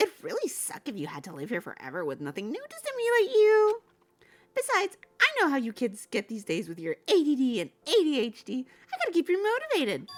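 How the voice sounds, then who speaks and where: A put-on character voice, high in pitch and fairly quick in pace. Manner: sarcastic, taunting.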